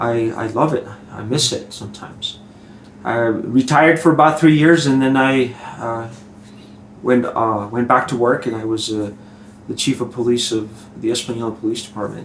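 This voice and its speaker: A man's voice at a moderate pace with ordinary pitch variation, audible room echo and noticeable background noise. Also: medium pitch for a man. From southern New Mexico. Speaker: retired police chief. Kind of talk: interview.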